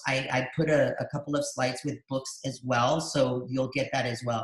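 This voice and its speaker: A man with an American accent speaks at a moderate pace, somewhat breathy, with ordinary pitch variation. Audible room echo surrounds him against a quiet background. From El Paso, Texas; Texas. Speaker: dual language educator and webinar host; facilitator, educator. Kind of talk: live webinar conversation. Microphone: video call.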